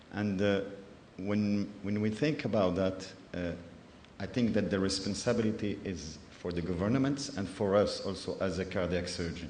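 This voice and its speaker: A man speaks at a moderate pace in a fairly low pitch. Audible echo from the room surrounds his voice. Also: ordinary pitch variation. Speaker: cardiac surgeon. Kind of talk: conference presentation. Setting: conference in Ghana. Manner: halting, many hesitations.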